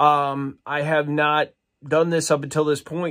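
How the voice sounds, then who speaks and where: Speaking at a fairly slow pace, a man is heard over a quiet background. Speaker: toy collector vlogger. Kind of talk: casual vlog chat. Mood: upbeat, nostalgic. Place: home room. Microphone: phone near.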